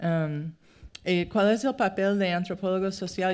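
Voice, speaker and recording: A woman with a non-native accent speaks with fairly even intonation in a very clean recording with a silent background. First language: English (speaking Spanish). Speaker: anthropologist. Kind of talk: lecture. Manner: halting.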